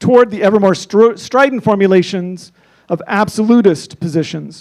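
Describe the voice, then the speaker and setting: A man with an American accent, fairly even intonation and a high pitch. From Idaho, USA. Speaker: university professor and climate institute director. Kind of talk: graduation keynote address. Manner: forceful, earnest, oratorical.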